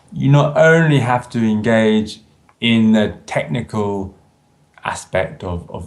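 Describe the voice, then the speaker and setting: A man speaks with a London accent. His pitch is fairly low. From London, England. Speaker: English teacher. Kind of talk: interview answer.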